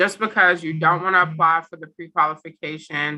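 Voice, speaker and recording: Bright and sharp in tone, a woman speaks with a very deep, low pitch. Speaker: housing program director. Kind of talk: information session presentation.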